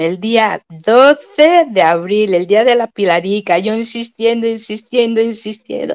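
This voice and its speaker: A woman with a fairly high pitch at a very slow pace, over a quiet background. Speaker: YouTuber, viewer of the live stream; YouTuber. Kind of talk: casual chat. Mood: cheerful, joking. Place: home room. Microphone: webcam.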